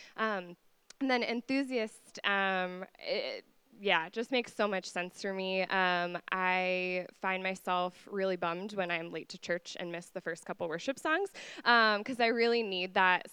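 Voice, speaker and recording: A woman with a plain, everyday voice, medium pitch, ordinary pitch variation and a fairly slow pace, against a quiet background. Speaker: university resident director. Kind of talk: testimony.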